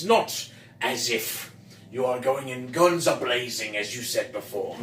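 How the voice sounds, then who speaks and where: Clear background noise sits behind a man's medium-pitched voice. He speaks at a fairly slow pace. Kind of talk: fantasy game narration. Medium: actual play. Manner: measured, descriptive, slightly formal.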